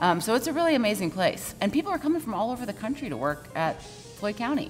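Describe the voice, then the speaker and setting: A woman's very fast, fairly high voice with very wide pitch swings and an American accent, faint music in the background. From Georgia, USA. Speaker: voice actor. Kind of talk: interview answer. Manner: casual, chatty. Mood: warm, upbeat. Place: bar. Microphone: lapel.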